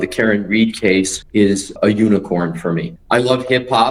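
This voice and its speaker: With music behind him, a man talks in a fairly low pitch. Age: 60s. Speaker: attorney. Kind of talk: interview answer.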